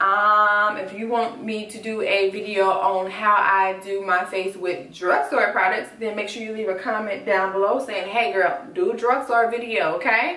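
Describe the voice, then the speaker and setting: With audible room echo and noticeable background noise, a woman speaks at a fairly slow pace in a medium pitch with ordinary variation. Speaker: beauty vlogger. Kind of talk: makeup tutorial.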